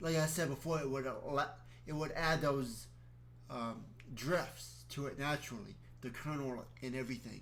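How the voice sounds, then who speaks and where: There is audible room echo around the voice. The pace is moderate. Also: man. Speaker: video creator explaining a calendar system. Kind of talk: solo explanatory monologue with reading aloud. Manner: halting, with restarts.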